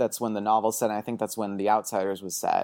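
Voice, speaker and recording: Speaking at a very fast pace with a West Coast accent, a man is heard in a very clean recording with a silent background and a dry, close sound with no echo. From US Pacific Northwest, Portland, Oregon. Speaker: film writer and podcaster. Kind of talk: casual chat.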